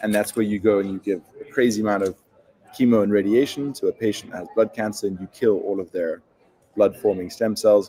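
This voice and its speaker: A man talks at a fairly quick pace with a South African accent. His pitch is fairly low. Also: fairly even intonation. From South Africa, Cape Town. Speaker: startup founder. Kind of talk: interview.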